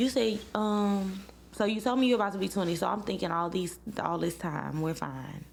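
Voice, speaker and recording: In a Louisiana accent, a woman talks at a medium pitch with ordinary pitch variation, and audible room echo surrounds her voice. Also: moderate pace. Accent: Louisiana Southern US. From Louisiana, Baton Rouge. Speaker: podcast host. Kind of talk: casual chat. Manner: animated.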